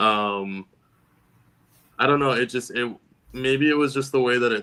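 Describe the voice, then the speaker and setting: With an American accent, a man speaks at a medium pitch in a bright, sharp tone. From Texas. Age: 30s. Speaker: poet. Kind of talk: interview.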